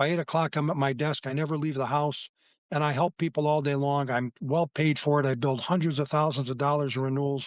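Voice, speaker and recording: An unremarkable speaking voice, fairly even in intonation, at a fairly quick pace. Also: man. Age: 60s. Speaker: insurance agent. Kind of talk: interview.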